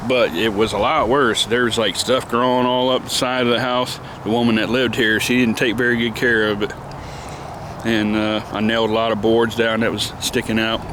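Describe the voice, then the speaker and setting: A man's medium-pitched voice with an American accent, monotone and flat in intonation, at a fairly quick pace with very even loudness, over noticeable background noise. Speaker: gardening vlogger. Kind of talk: casual vlog monologue. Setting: outdoors in backyard garden. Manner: halting, many fillers.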